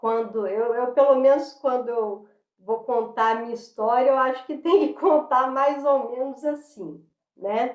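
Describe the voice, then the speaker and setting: With a Minas Gerais accent, a woman speaks at a fairly slow pace in a high pitch with ordinary pitch variation. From Minas Gerais, Brazil (Belo Horizonte). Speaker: dancer and tai chi practitioner. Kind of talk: interview. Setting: video call. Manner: halting, many fillers.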